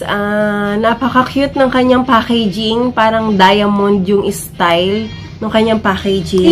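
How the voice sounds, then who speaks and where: A woman speaks with lively intonation at a fairly slow pace. Noticeable background noise is present. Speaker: beauty vlogger. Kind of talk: product review vlog. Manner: casual, chatty.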